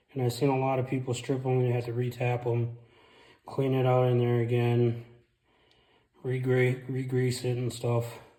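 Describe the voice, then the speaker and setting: The voice is dark and mellow, somewhat breathy and monotone with flat intonation, moving at a moderate pace broken by long, frequent pauses. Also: man, medium pitch for a man. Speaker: car DIY mechanic. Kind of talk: casual car repair tutorial. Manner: speech affected by brain injury.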